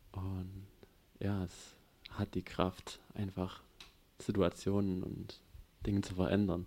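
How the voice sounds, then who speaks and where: Very deep, low male voice, monotone and flat, at a very slow pace with long, frequent pauses. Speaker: congregation member. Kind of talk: testimony.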